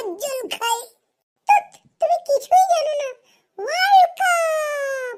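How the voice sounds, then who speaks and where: A cartoonish character voice at an extremely high pitch carries a playful tone. It moves at a fairly slow pace. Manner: playful, teasing.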